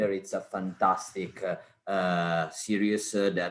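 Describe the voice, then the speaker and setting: A man's very deep, low voice with an Italian accent, at a fairly slow pace over a quiet background. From Italy. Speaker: cancer researcher. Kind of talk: online talk. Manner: hesitant, many fillers.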